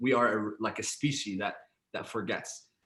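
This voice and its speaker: A man's fairly low voice with a bright, sharp tone, fairly even intonation and a moderate pace. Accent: Arabic. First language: Arabic. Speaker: podcast co-host, guest speaker. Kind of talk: panel conversation. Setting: live webinar.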